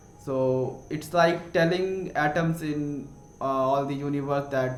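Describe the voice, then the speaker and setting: A man with an Indian accent and ordinary pitch variation, amid noticeable background noise and audible room echo. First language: Hindi. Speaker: science explainer youtuber. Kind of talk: educational explainer. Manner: halting, many fillers and self-corrections.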